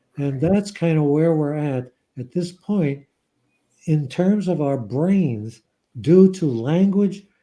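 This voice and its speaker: A man speaks with a dark, mellow tone at a fairly high pitch, with ordinary pitch variation. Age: 70s. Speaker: psychiatrist and author. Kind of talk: interview.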